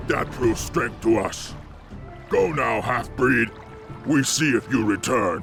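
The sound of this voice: Using a put-on character voice, a man talks slowly at a medium pitch with a fairly bright tone, vocal fry and lively intonation, while faint music plays behind him.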